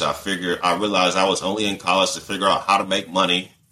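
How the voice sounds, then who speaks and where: A man's very deep, low voice, bright and sharp in tone, flat and monotone, at a very fast pace. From US South (Georgia). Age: 30s. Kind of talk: casual interview, personal testimony.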